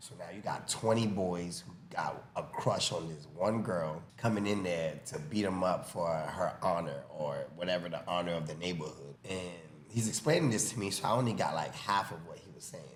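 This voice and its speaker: Amid audible room echo and noticeable background noise, a man with a Haitian-American accent and a very deep, low pitch speaks at a moderate pace with ordinary pitch variation, hardly any pauses and big swings in loudness. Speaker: boxing coach. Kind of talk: casual chat, storytelling.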